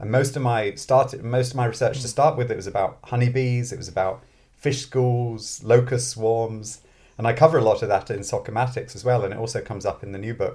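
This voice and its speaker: A man with a medium pitch and a somewhat breathy voice talks at a fairly quick pace with fairly even intonation and big swings in loudness, in a very clean recording with a silent background. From born in London, grew up in Scotland. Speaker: mathematics professor and author. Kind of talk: interview conversation.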